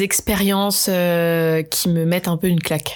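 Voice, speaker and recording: A woman talks with fairly even intonation. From France, Bordeaux. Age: 20s. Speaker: pastry entrepreneur. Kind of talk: interview.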